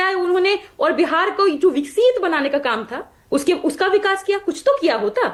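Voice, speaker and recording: With lively intonation and an animated tone, a woman speaks in an extremely high voice with hardly any pauses. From Bihar, Magadh region. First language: Magahi (speaking Hindi). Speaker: party spokesperson. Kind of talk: heated debate.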